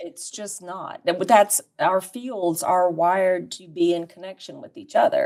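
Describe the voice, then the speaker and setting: With a plain, everyday voice, a woman at medium pitch speaks at a fairly slow pace with lively intonation, big swings in loudness and hardly any pauses. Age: 60s. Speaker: podcast guest, community leader. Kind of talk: casual chat.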